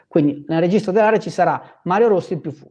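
A man with lively intonation and an animated tone, against a quiet background. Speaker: trading educator. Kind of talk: live stream talk. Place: home room. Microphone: lapel.

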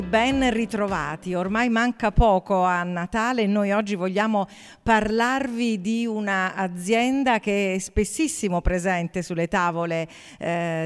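A woman's medium pitch and ordinary pitch variation at a fairly slow pace, over a quiet background. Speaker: food and wine show host. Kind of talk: casual talk to camera. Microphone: handheld.

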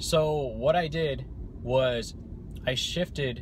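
A man talks in a somewhat breathy voice with ordinary pitch variation, the sound dry with no echo and light background noise. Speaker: vlogger. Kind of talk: casual vlog chat. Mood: calm, reflective storytelling. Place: car. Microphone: phone near.

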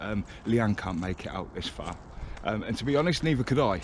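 A man's voice makes very wide pitch swings, its sound dry with no echo over light background noise. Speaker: walking vlogger. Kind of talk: casual vlog chat. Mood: cheerful, festive. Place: open country. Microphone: phone near.

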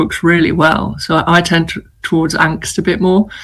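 A woman speaks in a northern English accent at a moderate pace. Her pitch is fairly low and her intonation fairly even. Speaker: novelist. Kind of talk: casual interview.

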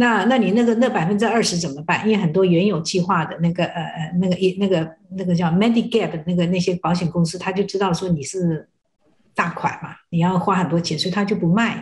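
Somewhat breathy and medium in pitch, a woman talks at a very fast pace. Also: fairly even intonation. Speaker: Medicare benefits counselor. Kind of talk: TV talk show interview. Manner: halting.

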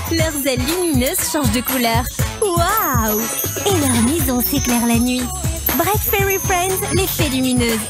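A woman talks over loud music in the background, the sound dry with no echo. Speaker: voice actor. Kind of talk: TV commercial read. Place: booth. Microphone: studio mic.

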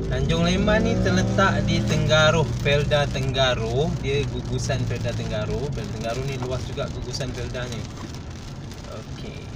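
A man talks at a fairly slow pace. Loud background noise fills the recording. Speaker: driver vlogger. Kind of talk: casual vlog chat. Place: car. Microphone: phone near.

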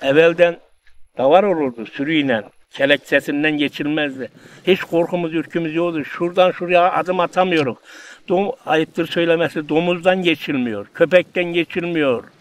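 In a dry sound with no echo, a man speaks at a moderate pace with a high pitch and ordinary pitch variation. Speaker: interviewee. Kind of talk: interview answer. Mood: nostalgic, lamenting. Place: open country.

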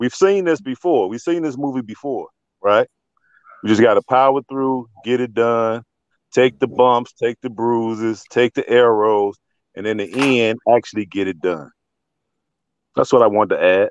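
A man talks at a moderate pace with ordinary pitch variation and long, frequent pauses, the sound dry with no echo over a quiet background. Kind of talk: casual chat. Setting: video call. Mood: earnest, encouraging. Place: home room. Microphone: video call.

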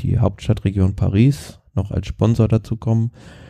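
Against a quiet background, a man speaks with a dark, mellow tone and fairly even intonation. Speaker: cycling podcast co-host. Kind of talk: casual chat. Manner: halting.

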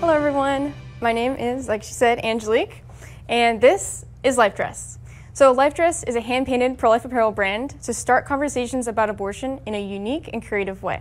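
A woman's high voice at a fairly quick pace, with music in the background. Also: ordinary pitch variation. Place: meeting room. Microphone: lapel.

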